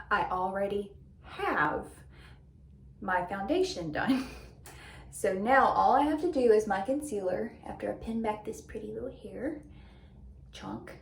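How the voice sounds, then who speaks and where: A woman with a fairly high pitch speaks at a fairly slow pace, with long, frequent pauses, very wide pitch swings and big swings in loudness. Noticeable background noise and audible room echo fill the recording. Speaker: beauty vlogger. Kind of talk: casual chat.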